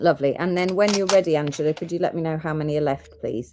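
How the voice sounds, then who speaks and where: A woman speaks in a very deep, low register with a dark, mellow tone. Her pace is fairly quick. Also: very clean recording, silent background. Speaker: gemstone seller. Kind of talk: live sales broadcast. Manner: animated.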